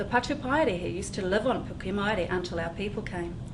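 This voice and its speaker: Her pitch medium, a woman talks while background noise stays noticeable. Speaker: children's book author reading her own story. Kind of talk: children's storytime reading.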